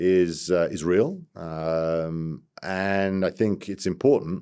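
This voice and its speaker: A man's very deep, low voice carries a dark, mellow tone and fairly even intonation. The recording is very clean, with a silent background. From London, England (Italian parents). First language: Italian. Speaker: business executive. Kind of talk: interview.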